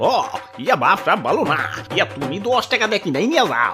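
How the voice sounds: In a cartoonish character voice, a man talks at a fairly quick pace with a high pitch and very wide pitch swings, over clear music in the background.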